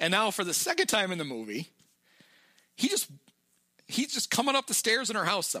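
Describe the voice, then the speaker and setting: Raising and projecting his high-pitched voice, a man talks fairly quickly in a bright, sharp tone, with very wide pitch swings and long, frequent pauses. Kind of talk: casual podcast chat, movie recap.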